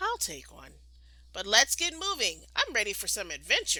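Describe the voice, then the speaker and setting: Using a put-on character voice, a woman talks at a moderate pace with an extremely high pitch. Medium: read story. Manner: energetic, eager.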